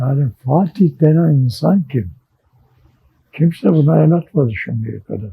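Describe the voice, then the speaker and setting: Very slow and fairly high-pitched, a man speaks in a dark, mellow, somewhat breathy tone with lively intonation, in a dry, close sound with no echo. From Istanbul, Turkey. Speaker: journalist and writer. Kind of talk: oral history interview.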